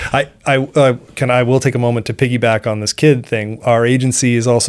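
In a plain, everyday voice, a man with an American accent speaks at a medium pitch and moderate pace on a very clean recording with a silent background. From Seacoast New Hampshire, US. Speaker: fisheries biologist. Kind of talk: interview.

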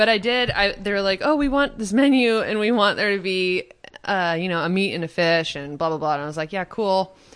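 A woman with an unremarkable speaking voice talks at a medium pitch and a fairly quick pace, her intonation lively. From Kansas, US Midwest. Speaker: food stylist and chef. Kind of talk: casual chat.

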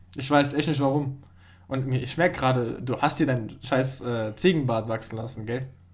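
Speaking at a moderate pace, a man uses a plain, everyday voice at medium pitch with fairly even intonation. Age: young. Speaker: podcast co-host. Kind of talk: casual chat.

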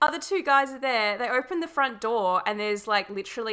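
On a very clean recording with a silent background, a woman with an Australian accent talks at a very fast pace in a bright, sharp tone with lively intonation. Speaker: podcast host. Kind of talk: casual chat.

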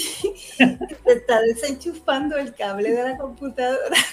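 A woman speaks in a Puerto Rican accent with lively intonation. Noticeable background noise runs underneath. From Puerto Rico, Humacao. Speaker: actress. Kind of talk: casual chat.

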